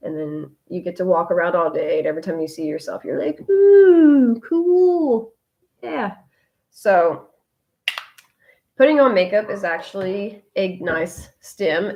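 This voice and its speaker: A woman's fairly slow speech with ordinary pitch variation. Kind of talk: live video chat. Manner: loud; varied pitch.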